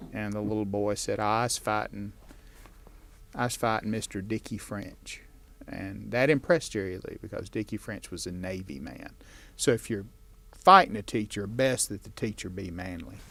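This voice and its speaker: A man with a Southern US accent speaks at a moderate pace in a fairly low, bright and sharp voice, showing ordinary pitch variation and big swings in loudness. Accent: Southern American. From northeastern Alabama. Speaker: author. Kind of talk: interview answer. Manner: storytelling.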